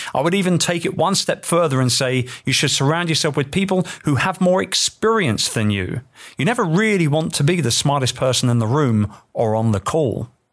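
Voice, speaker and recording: In an English accent, a man speaks at a moderate pace in a fairly high pitch with very wide pitch swings and very even loudness, on a very clean recording with a silent background. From England. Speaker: entrepreneur and author. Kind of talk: reading aloud from own book.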